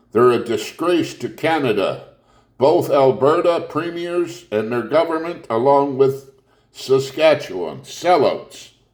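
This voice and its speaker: A man with a fairly high pitch speaks with audible room echo. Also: ordinary pitch variation, fairly slow pace. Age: 70s. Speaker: video blogger. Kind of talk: political rant. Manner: animated.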